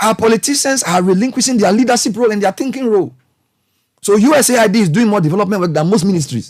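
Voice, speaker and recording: With a Ghanaian accent, a man speaks very fast in a passionate tone, his high pitch carried by lively intonation at a very even loudness. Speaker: broadcast journalist and commentator. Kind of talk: passionate public speech on national affairs. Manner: passionate, frustrated, emphatic.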